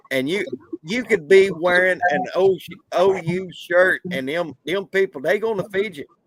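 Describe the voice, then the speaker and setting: With a Southern US accent, a man speaks fairly slowly in a high pitch, with ordinary pitch variation and a dry, close sound that has no echo. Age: 50s. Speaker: sports podcast host. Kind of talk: casual chat. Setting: live stream.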